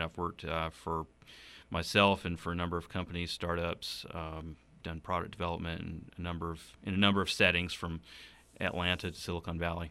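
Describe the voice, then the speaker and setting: A man with a Southern US accent speaks at a very deep, low pitch and a fairly quick pace, in a bright, sharp tone. His intonation is monotone and flat, and the recording is very clean with a silent background. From South Carolina (Upstate, rural Donalds). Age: 30s. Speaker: state legislator. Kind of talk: interview. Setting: studio.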